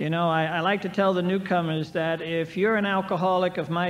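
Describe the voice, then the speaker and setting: A man speaks at a moderate pace in a high pitch, his intonation monotone and flat. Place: hall. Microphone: old recording.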